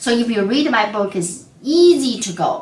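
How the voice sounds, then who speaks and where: A woman with a non-native accent speaks in a fairly high voice with very wide pitch swings. Audible room echo and noticeable background noise surround her. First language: not English. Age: 50s. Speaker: accountant. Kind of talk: webinar presentation. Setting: online webinar. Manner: casual, conversational.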